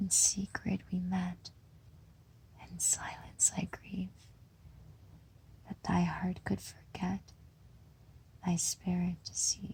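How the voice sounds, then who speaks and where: A woman whispers in a gentle tone at a very slow pace, leaving long, frequent pauses. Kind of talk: poetry reading. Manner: slow, hushed, gentle.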